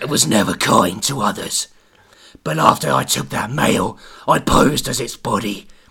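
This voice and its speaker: In a put-on character voice, a man sounds raspy and menacing at a medium pitch. His pitch swings very widely, and his pace is moderate. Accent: Cockney. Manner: menacing, villainous.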